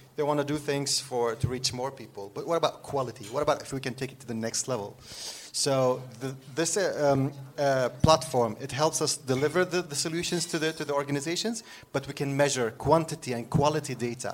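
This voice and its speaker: Fairly quick and fairly high in pitch, a man talks with an Arabic accent and ordinary pitch variation. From Syria. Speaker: author and social entrepreneur. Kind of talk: live interview. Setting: stage with audience. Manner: laughs often.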